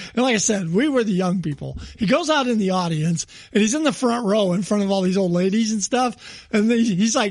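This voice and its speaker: Noticeable background noise surrounds a man who talks at a fairly quick pace with a high pitch and lively intonation. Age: 60s. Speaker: comedy podcast co-host. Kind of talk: casual chat.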